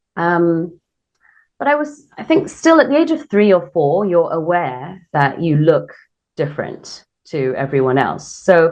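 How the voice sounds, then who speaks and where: With a British accent, a woman speaks at a fairly slow pace. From England, then Korea from teens. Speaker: radio host. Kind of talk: interview. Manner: hesitant, many fillers.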